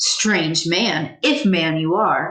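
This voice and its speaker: Growling in a put-on character voice, a woman speaks at a fairly low pitch with ordinary pitch variation. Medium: read story.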